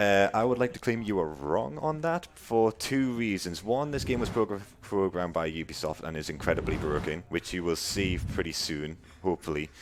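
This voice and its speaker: A man with a Geordie accent at a fairly low pitch, moderate pace and very wide pitch swings. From northern England, Newcastle. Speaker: speedrunner. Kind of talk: live gameplay commentary. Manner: casual, chatty.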